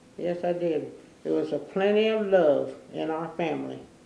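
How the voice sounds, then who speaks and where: There is audible room echo around the voice. A woman with a fairly low pitch speaks at a moderate pace. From Newport, Kentucky. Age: 90s. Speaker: oral history interviewee. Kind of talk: oral history interview. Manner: halting.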